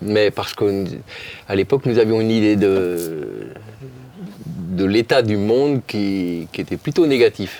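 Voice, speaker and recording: This man has a dark, mellow tone and a fairly low pitch with ordinary variation. He speaks at a very slow pace. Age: 60s. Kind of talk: testimony in a talk show interview. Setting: studio talk show set. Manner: halting, with frequent repetitions.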